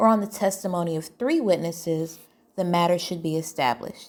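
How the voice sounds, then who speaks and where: This is a woman speaking. Her pace is moderate. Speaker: teacher of young adults; ex-Jehovah's Witness commentator. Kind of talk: podcast-style commentary. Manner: some stuttering.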